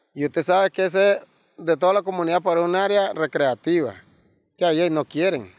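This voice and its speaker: In a dry sound with no echo over a quiet background, a man with a high pitch talks at a fairly quick pace, his loudness very even and his pitch variation ordinary. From Nicaragua. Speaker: disaster survivor. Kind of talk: interview testimony. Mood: somber, recounting tragedy. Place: forest.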